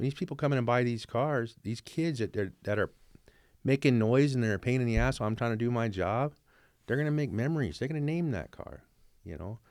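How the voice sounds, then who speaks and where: A man's unremarkable speaking voice at medium pitch, with ordinary pitch variation and a fairly quick pace, in a very clean recording with a silent background. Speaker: car salesman. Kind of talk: casual chat.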